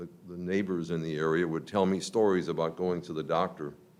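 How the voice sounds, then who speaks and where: A man with an American accent speaks at a moderate pace in a very deep, low pitch, with audible echo from the room. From Chicago. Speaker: property developer. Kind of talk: public comment at council meeting. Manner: halting.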